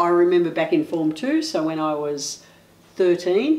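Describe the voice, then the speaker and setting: A woman talks at a fairly slow pace with a fairly low pitch. Her intonation is lively. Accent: Australian. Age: 60s. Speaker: interviewee, senior LGBTI community member. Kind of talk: personal testimony.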